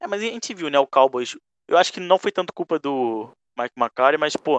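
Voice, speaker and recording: Very wide pitch swings at a moderate pace, dry and close with no echo against a quiet background. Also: man. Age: 20s. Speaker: podcast host and NFL fan. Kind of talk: casual chat. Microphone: mic badly placed early on.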